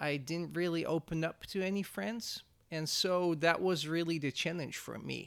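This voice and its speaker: With a high pitch and ordinary pitch variation, a man speaks at a moderate pace. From Netherlands. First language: Dutch. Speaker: church media staff. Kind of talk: interview.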